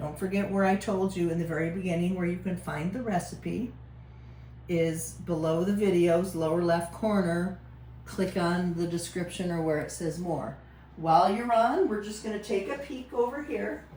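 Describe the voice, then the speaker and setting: A woman whispers at a moderate pace with audible room echo. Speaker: home baker, cooking channel host. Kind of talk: cooking tutorial. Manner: casual, chatty; whispering at one point.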